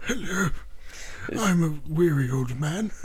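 A put-on character voice from a man, fairly high in pitch and at a fairly slow pace. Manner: weary, tired.

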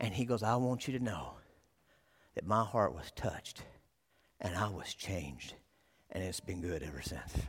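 Using vocal fry, a man speaks at a moderate pace in an animated tone with lively intonation and long, frequent pauses. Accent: Texan. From Texas. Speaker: youth pastor, guest preacher. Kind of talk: sermon. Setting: church with congregation.

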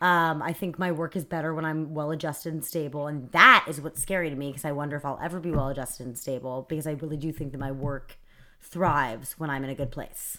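Speaking very fast with hardly any pauses, a woman with a very deep, low voice keeps a fairly even intonation on a very clean recording with a silent background. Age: 20s. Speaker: podcast guest. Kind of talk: casual chat.

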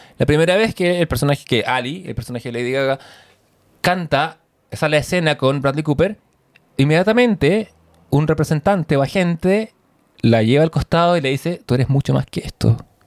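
Lively intonation marks this man's fairly high-pitched voice as he moves at a fairly quick pace. The sound is dry and close, with no echo. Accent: Chilean. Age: 40s. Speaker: podcast co-host. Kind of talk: casual chat.

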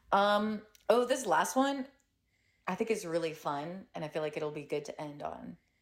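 A woman with an unremarkable speaking voice talks at a moderate pace and medium pitch, her intonation lively and her loudness swinging widely. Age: 20s. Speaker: guest and friend. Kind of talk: casual chat over wine.

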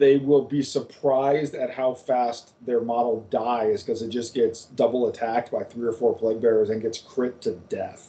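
A man speaks in an unremarkable speaking voice at medium pitch. His pace is fairly slow. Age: 40s. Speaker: podcast co-host, tabletop gamer. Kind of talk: casual chat.

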